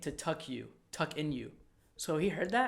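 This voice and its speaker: At a moderate pace, the voice carries vocal fry. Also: man. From Egypt. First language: Arabic. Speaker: actor, podcast co-host. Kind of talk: casual chat. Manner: animated.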